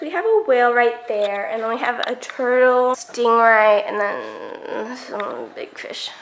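The speech comes at a very slow pace with ordinary pitch variation over noticeable background noise. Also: woman. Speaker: travel vlogger. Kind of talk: casual vlog.

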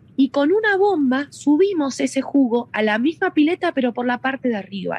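The woman's pitch is high and swings very widely. Her voice sounds dry and close, without any echo. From Argentina, Mendoza. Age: 30s. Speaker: winery tourism manager. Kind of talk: guided tour explanation. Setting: on location at a winery.

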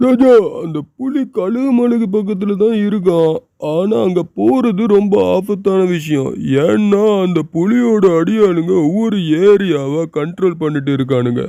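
In a cartoonish character voice, the speaker goes at a fairly slow pace. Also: man, high pitch for a man.

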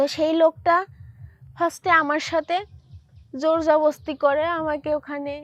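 The woman's fairly even intonation comes through in a dry, close sound with no echo. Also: quiet background. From Bangladesh, Manikganj. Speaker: storyteller sharing personal experience. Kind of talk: personal testimony. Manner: halting.

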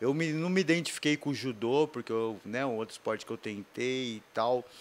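A man's voice with lively intonation. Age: 40s. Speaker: skateboarder and author; podcast guest. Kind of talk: interview testimony. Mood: relaxed, reflective. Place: studio. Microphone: studio mic.

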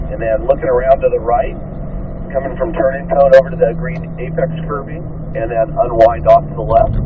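Noticeable background noise sits behind the speaker. He is a man talking at a moderate pace. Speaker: driving instructor. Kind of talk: instruction. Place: car.

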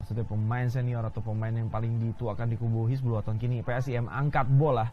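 A man speaks very fast at a medium pitch, in a monotone, flat way. His tone is dark and mellow, and somewhat breathy. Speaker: football commentator. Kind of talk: live football commentary. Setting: match broadcast, stadium.

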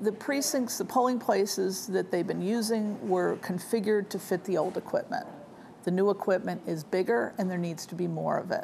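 In an ordinary speaking voice, a woman talks at a moderate pace with a medium pitch. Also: ordinary pitch variation. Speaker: news anchor. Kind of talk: TV evening newscast anchoring, read from teleprompter. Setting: TV news studio. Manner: formal, steady, measured.

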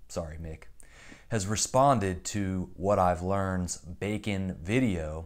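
A man's plain, everyday voice, fairly low in pitch and fairly even in intonation, at a fairly slow pace against a quiet background. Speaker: youtuber. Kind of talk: commentary. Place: home room.

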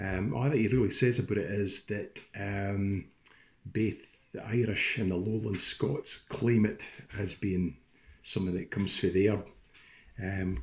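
Somewhat breathy delivery at a fairly slow pace, with ordinary pitch variation. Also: man. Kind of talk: casual talk introducing a tune. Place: home room. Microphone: phone near.

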